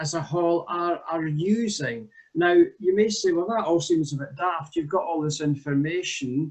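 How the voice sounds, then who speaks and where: A man with a Scottish accent speaks at a high pitch. He goes at a fairly slow pace against a quiet background. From Scotland. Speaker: village hall volunteer administrator. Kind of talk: presentation demo. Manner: hesitant, many fillers. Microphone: video call.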